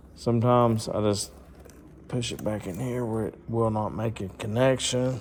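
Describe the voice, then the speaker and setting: A man speaks at a fairly slow pace and medium pitch, with audible room echo. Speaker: motorsports YouTuber doing mechanic work. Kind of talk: tutorial.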